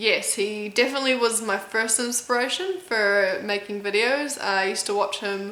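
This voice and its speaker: A woman speaks at a fairly high pitch in an American accent. Room echo is audible. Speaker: competitive eater and YouTuber. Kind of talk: casual Q&A video chat.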